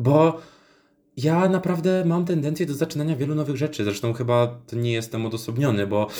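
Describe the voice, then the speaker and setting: Over a very clean recording with a silent background, a man speaks at a moderate pace with ordinary pitch variation. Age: 20s. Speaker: podcaster and psychology student. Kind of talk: casual monologue. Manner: halting, many fillers.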